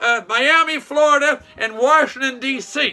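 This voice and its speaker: A man's animated, raised and projected voice at an extremely high pitch, over noticeable background noise. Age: 60s. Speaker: vlogger, former shop owner. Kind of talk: political commentary monologue. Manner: animated, repetitive.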